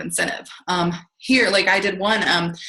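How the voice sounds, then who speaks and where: With audible room echo, a woman speaks at a medium pitch with ordinary pitch variation. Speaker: direct sales consultant giving training. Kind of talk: training presentation on video call. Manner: fast.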